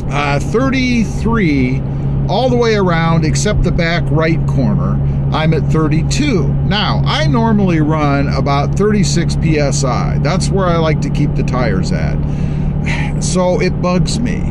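The speaking pace is very slow. Loud background noise runs underneath. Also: man. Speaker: truck channel host. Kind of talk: casual vlog chat. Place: car. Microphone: phone near.

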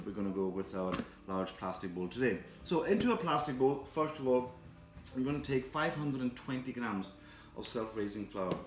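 Faint music plays behind a man talking at a fairly quick pace, with audible room echo around him. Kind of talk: cooking tutorial. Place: kitchen.

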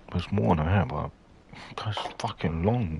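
With noticeable background noise behind him, a man talks at a moderate pace in a dry sound with no echo. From Poland. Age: 20s. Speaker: gamer. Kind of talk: casual gameplay commentary. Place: home room.

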